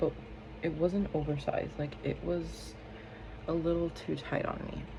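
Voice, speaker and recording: A woman is whispering, with audible room echo. Music plays behind her. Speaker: beauty vlogger. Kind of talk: casual chat. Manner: animated.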